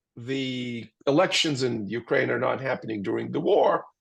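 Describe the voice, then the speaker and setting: A man with a Russian accent talks at a fairly slow pace. The background is quiet. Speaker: geopolitical analyst. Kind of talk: webinar Q&A answer. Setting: webinar. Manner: animated.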